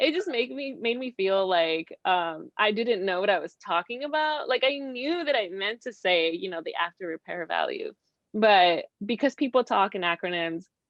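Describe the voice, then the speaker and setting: Fairly high pitch and very wide pitch swings from a woman with a Spanish accent, at a moderate pace. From Mexico. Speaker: real estate investor. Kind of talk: interview.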